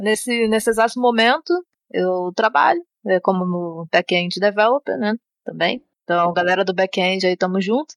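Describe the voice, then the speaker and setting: A woman with an ordinary speaking voice talks at a moderate pace and medium pitch, with ordinary pitch variation and very even loudness, in a dry, close sound with no echo. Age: 20s. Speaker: software developer. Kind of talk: casual chat.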